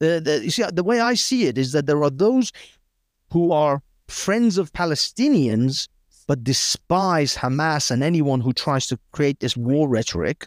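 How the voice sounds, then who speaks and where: Speaking in a British accent at a fairly slow pace, the voice has lively intonation and very even loudness, dry and close with no echo on a very clean recording with a silent background. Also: man, fairly high pitch for a man. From Britain (born in Iran, raised in Britain). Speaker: political commentator. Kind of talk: casual chat.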